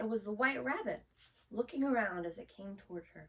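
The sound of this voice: Just an unforced reading voice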